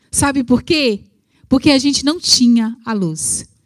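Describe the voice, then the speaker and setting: A woman speaking at a fairly slow pace, with a dry, close sound and no echo. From rural Brazil. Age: 40s. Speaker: preacher. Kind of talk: sermon.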